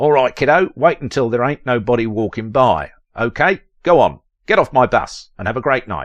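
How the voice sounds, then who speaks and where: Putting on a gruff character voice, a man speaks at a moderate pace and medium pitch with lively intonation. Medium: read story. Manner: gruff, brusque.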